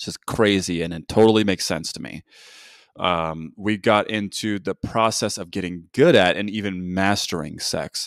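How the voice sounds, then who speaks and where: A man with an American accent and a plain, everyday voice speaks at a moderate pace and fairly low pitch, with ordinary pitch variation and big swings in loudness, in a very clean, dry, close recording with a silent background and no echo. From United States, Korean American. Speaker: podcast host. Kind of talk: podcast interview.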